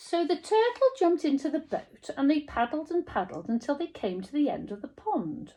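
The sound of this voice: This woman's voice has a dark, mellow tone and big pitch swings.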